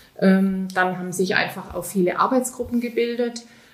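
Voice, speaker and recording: Here is a woman with a plain, everyday voice. Her pitch is medium and her intonation fairly even. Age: 50s. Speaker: business coach and shop founder. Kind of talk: interview. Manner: many filler sounds.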